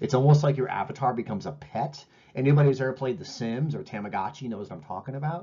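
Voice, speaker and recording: Somewhat breathy and very fast, a man talks at medium pitch with ordinary pitch variation and big swings in loudness. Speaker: professor. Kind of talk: lecture.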